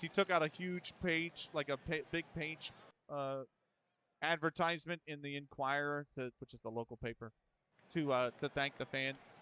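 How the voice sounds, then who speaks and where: A man's fairly high voice in a Philadelphia accent, bright and sharp in tone, at a moderate pace with fairly even intonation and a dry, close sound with no echo. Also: long, frequent pauses. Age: 30s. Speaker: baseball sim streamer and commentator. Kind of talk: live play-by-play commentary with casual chat. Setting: live stream. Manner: casual, conversational.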